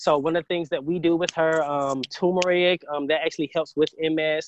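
A man speaks with a Southern US accent. His pace is moderate and his intonation fairly even. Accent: US South. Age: 20s. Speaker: entrepreneur and medical researcher. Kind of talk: interview.

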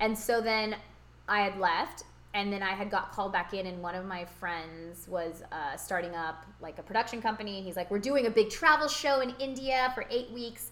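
A woman with an American accent speaks in a medium pitch with an animated tone, lively intonation and big swings in loudness. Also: moderate pace. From California. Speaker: podcast co-host. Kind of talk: casual interview chat.

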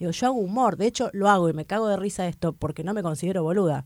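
On a very clean recording with a silent background, a woman with an Argentine accent speaks with ordinary pitch variation. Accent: Argentine Spanish (Rioplatense). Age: 40s. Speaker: stand-up comedian. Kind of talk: casual interview chat.

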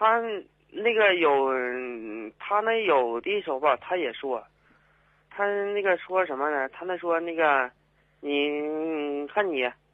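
At a very slow pace with long, frequent pauses, a man speaks in a fairly high pitch. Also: lively intonation. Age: 30s. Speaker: migrant worker caller. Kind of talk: phone-in call. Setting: phone call. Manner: halting.

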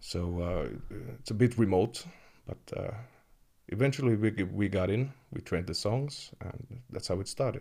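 With a Finnish accent, a man speaks at a moderate pace in a fairly low, dark, mellow, somewhat breathy voice with ordinary pitch variation. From Finland, Kemi (Sea Lapland). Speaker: metal keyboardist. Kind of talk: interview.

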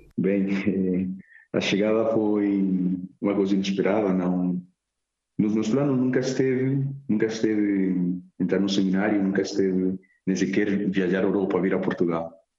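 A man's fairly low, dark, mellow voice in a Spanish accent, with fairly even intonation, very even loudness, a moderate pace, and long, frequent pauses. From Colombia, Medellín. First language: Spanish (speaking Portuguese). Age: 20s. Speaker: seminarian about to be ordained deacon. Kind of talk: radio interview.

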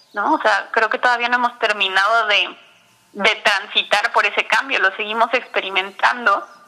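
A woman speaks with very even loudness. Noticeable background noise runs behind her. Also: fairly high pitch for a woman, fairly even intonation, moderate pace. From Mexico City. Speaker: nutritionist and diabetes educator. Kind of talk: interview. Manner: halting, repeats words.

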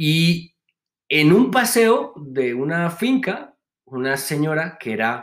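Very wide pitch swings in the fairly high-pitched voice of a man. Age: 30s. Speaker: actor and industrial designer. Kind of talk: interview.

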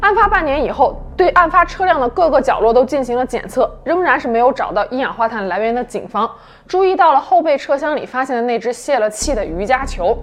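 With very wide pitch swings and hardly any pauses, a woman speaks at a high pitch. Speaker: true-crime podcast narrator. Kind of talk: true-crime narration, scripted storytelling. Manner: measured, even and serious, steady suspenseful storytelling.

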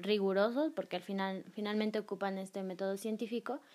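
Medium pitch and fairly even intonation from a woman with a plain, everyday voice. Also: very clean recording, silent background. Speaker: podcast host. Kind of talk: casual chat.

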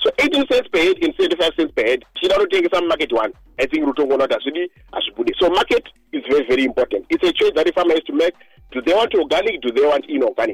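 A man talking very fast, with a dry, close sound and no echo. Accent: Zimbabwean. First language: Shona. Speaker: agronomist. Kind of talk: radio interview.

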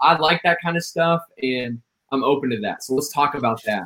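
Using lively intonation, a man with an ordinary speaking voice talks at a fairly high pitch. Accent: American. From Indiana, US Midwest. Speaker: spoken word poet. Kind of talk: casual interview.

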